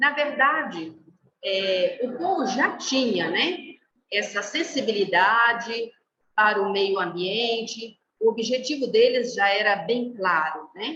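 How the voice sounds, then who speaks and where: With a Brazilian accent, a woman talks at a very slow pace in a fairly high pitch with very wide pitch swings. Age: 50s. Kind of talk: formation talk to a group. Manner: hesitant, many fillers.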